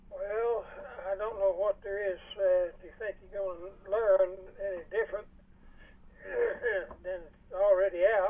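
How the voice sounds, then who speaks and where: Over noticeable background noise, a man with a high pitch speaks at a fairly slow pace in a monotone, flat intonation, with long, frequent pauses and big swings in loudness. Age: 80s+. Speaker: retired police detective. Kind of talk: interview answer. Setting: phone line. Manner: lucid, well spoken.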